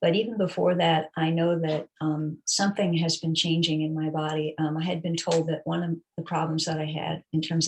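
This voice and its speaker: Pausing hardly at all, a woman with a very deep, low voice speaks fairly quickly in a somewhat breathy, monotone, flat delivery. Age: 60s. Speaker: fitness client. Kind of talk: interview. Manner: hesitant, many fillers.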